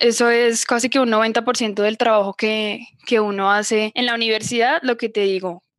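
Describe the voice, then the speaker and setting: A woman with a plain, everyday voice speaks at a fairly high pitch and a moderate pace. Her intonation is fairly even, her loudness very even, and she hardly pauses. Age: 20s. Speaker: psychologist. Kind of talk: interview.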